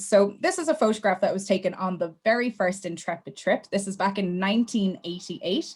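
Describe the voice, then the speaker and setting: A woman with an Irish accent talks at a fairly quick pace in a somewhat breathy voice of medium pitch. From Ireland. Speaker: travel company sales manager. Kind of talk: webinar presentation.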